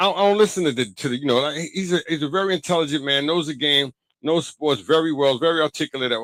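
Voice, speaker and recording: In a Brooklyn accent, a man talks at a very fast pace with an animated tone. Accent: New York (Brooklyn). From New York, Brooklyn (Bedford-Stuyvesant). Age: 50s. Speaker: basketball podcaster and commentator. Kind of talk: casual solo podcast monologue. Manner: animated, repetitive.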